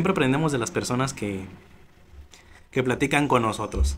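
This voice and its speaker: A man speaks at medium pitch. Light background noise can be heard. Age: 20s. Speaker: YouTuber starting a podcast. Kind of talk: casual vlog monologue. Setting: home studio set with camera. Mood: sincere, reflective. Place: studio. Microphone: studio mic.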